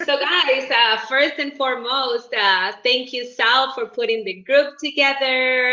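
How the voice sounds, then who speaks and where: The speaker talks at a fairly slow pace with an animated tone. Noticeable background noise runs underneath. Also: woman. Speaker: network marketing executive. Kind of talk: self-introduction at networking meeting. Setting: video call.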